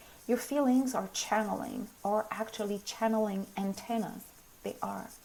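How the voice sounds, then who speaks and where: Over noticeable background noise, a woman speaks at a moderate pace in a fairly high, monotone, flat voice. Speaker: spiritual teacher. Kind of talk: live stream talk. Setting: live video stream.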